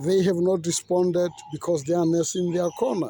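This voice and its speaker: The tone is animated and the pace fairly slow. Noticeable background noise runs underneath. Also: man. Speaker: commentator, former journalist. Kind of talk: monologue rant.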